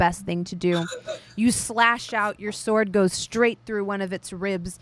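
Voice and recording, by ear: Ordinary pitch variation in a natural voice reading aloud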